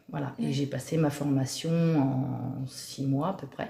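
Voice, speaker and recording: A woman's very deep, low voice, very slow and fairly even in intonation, with noticeable background noise. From Normandy, Cotentin. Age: 40s. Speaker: dog trainer. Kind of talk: interview. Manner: hesitant.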